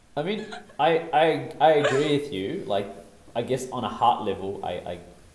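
There is noticeable noise in the background. The pitch swings very widely. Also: man. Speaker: podcast panelist. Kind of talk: casual chat. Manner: animated, laughs a lot.

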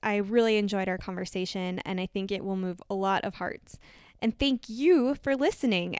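A woman with an unremarkable speaking voice and an American accent talks at a moderate pace with ordinary pitch variation, the sound dry and close with no echo. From US Midwest, Minnesota. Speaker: podcast host, physician assistant. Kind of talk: interview conversation.

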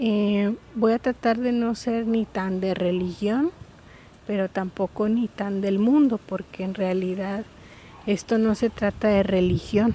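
A woman's somewhat breathy, dark, mellow voice at medium pitch, fairly even in intonation and very slow in pace. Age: 30s. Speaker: podcast host. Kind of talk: casual monologue. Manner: hesitant, many fillers.

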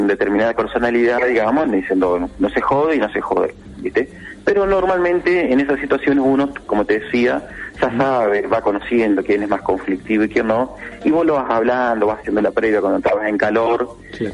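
With an Argentine accent, a man speaks at a fairly quick pace with lively intonation and very even loudness over noticeable background noise. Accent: Rioplatense Argentine Spanish. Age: 40s. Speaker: retired football referee. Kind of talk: interview. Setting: phone call. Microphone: telephone line.

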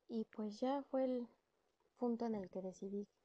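The speaker is a woman with a fairly high pitch. Her intonation stays fairly even. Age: 30s. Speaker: podcast host, working mother. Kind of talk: personal storytelling monologue.

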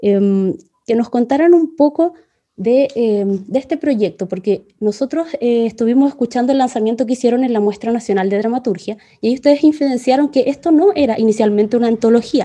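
The speaker has a Chilean accent, a moderate pace and ordinary pitch variation. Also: woman. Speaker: podcast host. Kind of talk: casual interview chat.

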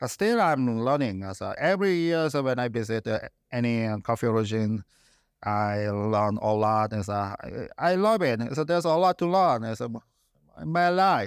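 In a Korean accent, a man with a medium pitch speaks at a moderate pace with very wide pitch swings, on a very clean recording with a silent background. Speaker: coffee company founder. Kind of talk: interview. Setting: office cupping room. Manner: halting, with frequent fillers.

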